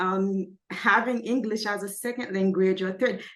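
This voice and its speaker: At a moderate pace and medium pitch, a woman speaks with fairly even intonation. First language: not English. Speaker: clinical social worker. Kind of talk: interview.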